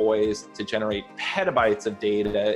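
A man's voice over faint background music. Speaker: remote interview guest. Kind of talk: interview answer. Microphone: video call.

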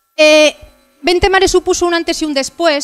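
Music is faintly audible behind the voice. The speaker is a woman. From Asturias, Villaviciosa; Asturias, Spain. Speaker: motorcycle adventurer and travel speaker. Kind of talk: talk with slides. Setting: stage with audience. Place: hall. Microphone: handheld.

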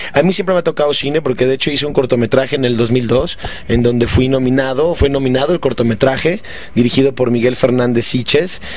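The man talks at a fairly quick pace with ordinary pitch variation. The sound is dry, with no echo. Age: 30s. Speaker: stand-up comedian. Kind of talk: interview. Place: home room. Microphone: handheld.

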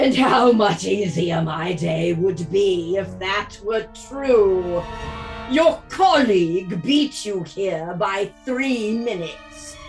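Over clear background music, a woman uses a put-on character voice at a medium pitch and a very slow pace. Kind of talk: audio drama reading. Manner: dry, sardonic.

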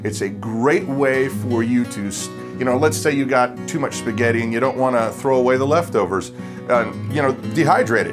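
Clear music sits in the background while the speech moves at a fairly quick pace. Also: man, ordinary pitch variation. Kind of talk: tutorial. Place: home room.

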